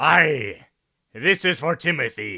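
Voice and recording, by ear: In a very clean recording with a silent background, a man puts on a raspy character voice at a fairly high pitch.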